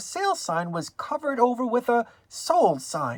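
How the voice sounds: At a medium pitch, a woman speaks with big pitch swings.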